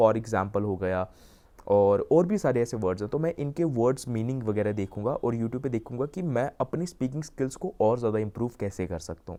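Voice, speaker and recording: A medium-pitched man with lively intonation. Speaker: YouTuber, self-improvement coach. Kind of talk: casual vlog talk, mixing Hindi and English. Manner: usually speaks fast.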